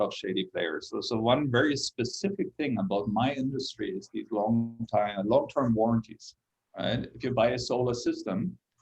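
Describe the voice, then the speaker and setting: Hardly pausing at all, a man talks at a moderate pace. He speaks with a German accent. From Germany. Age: 60s. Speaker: solar company executive. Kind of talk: interview. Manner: halting.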